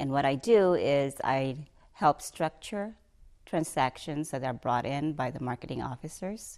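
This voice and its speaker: A woman with a Filipino accent speaks in a very deep, low voice, recorded very cleanly with a silent background. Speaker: bank executive. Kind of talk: interview testimony. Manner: halting.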